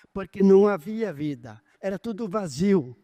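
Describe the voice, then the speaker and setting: The man has a high pitch and a dark, mellow tone. He speaks at a fairly slow pace, with a dry, close sound and no echo. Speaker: pastor. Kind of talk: sermon. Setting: church service. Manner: halting with self-corrections.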